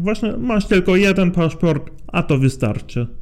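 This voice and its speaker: Ordinary pitch variation marks a man's speech, delivered fairly slowly. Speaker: youth forum participant. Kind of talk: interview. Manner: halting.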